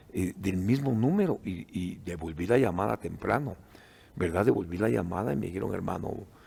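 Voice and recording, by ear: A man with a low pitch and a dark, mellow tone speaks at a fairly quick pace, using vocal fry and ordinary pitch variation.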